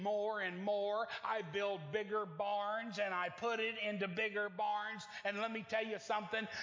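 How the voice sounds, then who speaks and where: A man with an American accent speaks at a high pitch and a fairly slow pace. Audible room echo surrounds the recording. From Oklahoma. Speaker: traveling evangelist preacher. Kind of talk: sermon. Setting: church with congregation. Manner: animated.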